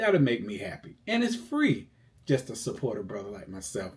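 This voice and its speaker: A man talks in a somewhat breathy voice. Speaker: financial coach. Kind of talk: tutorial. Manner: casual.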